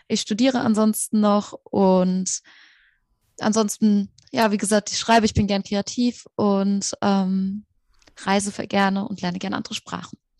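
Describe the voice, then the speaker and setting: A woman speaks fairly slowly at a medium pitch, somewhat breathy and in a flat monotone. The recording is very clean with a silent background and a dry, close sound with no echo. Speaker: student and podcaster. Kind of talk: interview.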